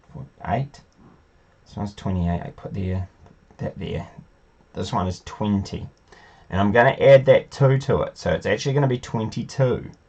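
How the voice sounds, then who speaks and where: The voice is somewhat breathy, with big swings in loudness and lively intonation. It moves at a moderate pace with long, frequent pauses. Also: man, medium pitch for a man. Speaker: school teacher. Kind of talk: tutorial. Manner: casual, thinking aloud.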